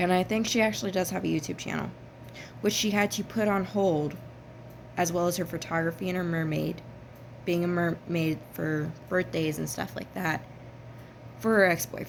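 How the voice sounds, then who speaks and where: A woman with an American accent, fairly low in pitch, at a moderate pace with ordinary pitch variation and long, frequent pauses. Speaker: vlogger. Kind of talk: personal vlog. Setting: at her workplace.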